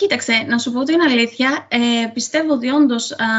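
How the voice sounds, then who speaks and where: The woman's pitch is fairly high, with ordinary pitch variation. She speaks at a moderate pace. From Crete, Sitia (Greece). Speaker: author. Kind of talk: interview. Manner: hesitant, many fillers.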